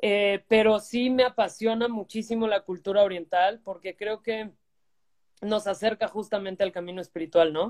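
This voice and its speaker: At a moderate pace, a woman speaks in an unremarkable speaking voice with a medium pitch and fairly even intonation, in a dry, close sound with no echo. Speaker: life coach. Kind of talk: interview. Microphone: bad connection.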